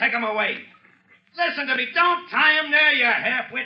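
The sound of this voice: A man puts on a character voice with an extremely high pitch. He moves at a moderate pace with lively intonation.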